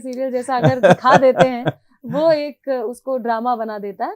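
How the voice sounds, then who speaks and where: A woman speaks at a high pitch with lively intonation. The sound is dry and close, without echo. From Rewa, Madhya Pradesh, India. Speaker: singer. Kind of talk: interview answer.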